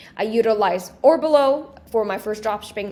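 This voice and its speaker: Her voice, a woman's with fairly high pitch, moves at a moderate pace. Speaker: small business entrepreneur and social media creator. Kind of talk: podcast interview.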